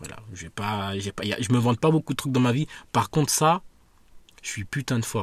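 Lively intonation from a somewhat breathy man. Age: 20s. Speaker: podcaster. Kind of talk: solo monologue. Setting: outdoors in a park. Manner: hesitant, many fillers.

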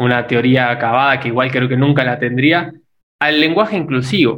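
This man's voice sits at a medium pitch. It rises and falls an ordinary amount. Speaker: podcast co-host, son. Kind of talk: casual conversation. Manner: halting, repeats words.

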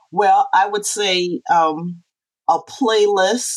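Over a dry, close sound with no echo, a woman speaks at a very slow pace. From Charleston, South Carolina. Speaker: author. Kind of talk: casual interview.

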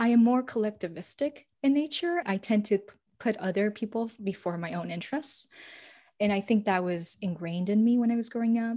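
Clean and silent in the background, this recording captures a woman with a fairly high pitch and a dark, mellow tone. Her voice is somewhat breathy, and her intonation is lively. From grew up in Spain, Paraguay and China. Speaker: podcast co-host, teacher. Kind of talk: casual chat.

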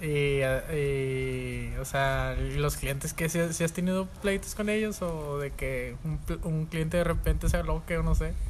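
Someone with a Mexican accent speaks at a very slow pace. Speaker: podcast host. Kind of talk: casual chat.

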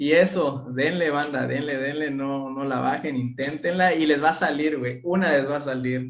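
A fairly high male voice at a moderate pace with hardly any pauses, fairly even intonation and audible room echo. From Mexico, Chiapas. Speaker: content creator, former footballer. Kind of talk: casual chat.

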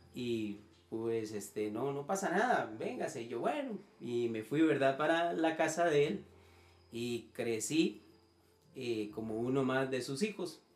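A man's medium-pitched voice with lively intonation at a very slow pace, over noticeable background noise. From Nicaragua, moved to Costa Rica at about 12. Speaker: church musician. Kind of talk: casual chat.

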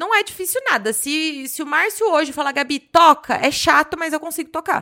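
Bright, sharp tone from a woman in a raised, projected voice with lively intonation at a fairly quick pace. Very clean recording, silent background. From Brazil, Jundiaí, São Paulo state. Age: 30s. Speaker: business mentor and podcaster. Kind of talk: casual chat.

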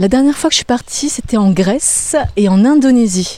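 A woman speaks with lively intonation. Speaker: radio presenter. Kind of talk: interview. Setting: outdoors, walking in a park.

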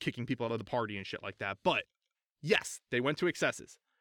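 The sound is dry and close, without echo. A man speaks very fast with an American accent. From US Midwest, St. Louis, Missouri. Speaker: podcaster, political commentator. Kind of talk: casual chat. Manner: animated.

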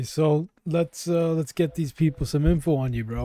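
Dark and mellow in tone, a man's fairly high voice moves at a moderate pace in a dry, close sound with no echo. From Canada, Toronto. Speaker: podcast host. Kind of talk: casual chat.

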